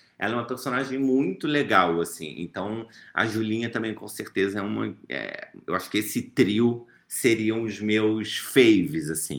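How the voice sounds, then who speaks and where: This man has a fairly low pitch and speaks fairly slowly with ordinary pitch variation. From Brazil, Rio de Janeiro. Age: 30s. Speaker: author and actor. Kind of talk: interview.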